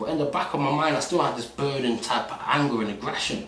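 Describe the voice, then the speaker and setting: Talking very fast with ordinary pitch variation, a man is heard through noticeable background noise and audible room echo. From England, Nottingham (Radford). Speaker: musician, former street fighter. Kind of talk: interview, life story. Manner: casual street slang.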